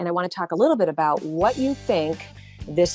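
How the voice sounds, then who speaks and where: Music sits in the background. The intonation is lively. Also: woman. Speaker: radio talk show host. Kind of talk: radio interview host talk.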